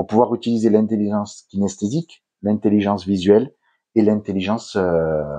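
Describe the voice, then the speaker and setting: A man talks at a moderate pace with a southern French accent, his pitch fairly low and his tone dark and mellow. His intonation stays fairly even. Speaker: hypnotherapist. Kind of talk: interview. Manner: hesitant, many fillers.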